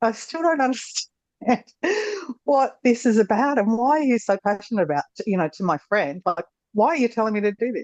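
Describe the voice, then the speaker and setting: In a strong Australian accent, a woman talks at a fairly quick pace with lively intonation, the sound dry and close with no echo. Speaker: former horse trainer, course participant. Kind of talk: casual interview conversation. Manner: halting, many fillers.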